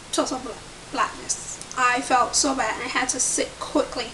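A woman speaks in a high voice. Background noise is noticeable. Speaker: pregnancy vlogger. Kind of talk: casual vlog chat. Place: home room. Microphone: webcam.

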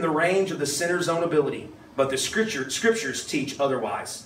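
Lively intonation marks this man's speech, heard with audible room echo and light background noise. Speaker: pastor. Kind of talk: sermon. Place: hall.

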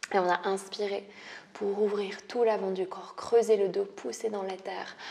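A woman at a fairly slow pace with monotone, flat intonation. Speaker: yoga instructor. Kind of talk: guided yoga instruction. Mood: calm, soft, soothing. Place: home room.

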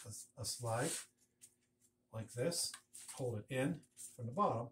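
Somewhat breathy speech comes at a moderate pace over light background noise. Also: man. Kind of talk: tutorial. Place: workshop. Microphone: camera far.

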